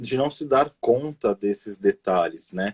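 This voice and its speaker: A man with an unremarkable speaking voice, at a fairly slow pace. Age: 30s. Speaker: educator, pedagogue. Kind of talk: casual interview on a live stream. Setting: online live stream.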